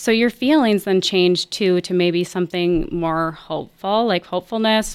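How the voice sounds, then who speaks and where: A woman's unremarkable speaking voice, fairly slow in pace, with ordinary pitch variation. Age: 40s. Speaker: counselor. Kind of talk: casual chat.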